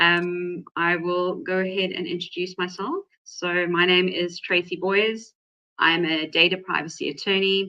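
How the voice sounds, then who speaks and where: A woman of medium pitch with a South African accent speaks at a fairly slow pace in a bright, sharp tone. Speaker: data privacy attorney, webinar host. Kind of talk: webinar presentation.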